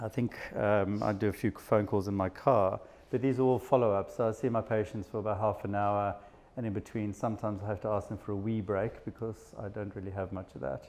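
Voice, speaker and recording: A man talks at a fairly quick pace with a South African accent. His pitch is fairly low. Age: 50s. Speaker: psychiatrist. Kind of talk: talk to an audience.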